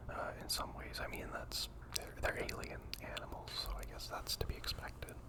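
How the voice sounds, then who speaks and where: A man whispers at a moderate pace in a relaxed tone. Noticeable background noise is present. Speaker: ASMR gaming content creator. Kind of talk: whispered gameplay voiceover ramble. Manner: whispered, soft-spoken, relaxed, rambling.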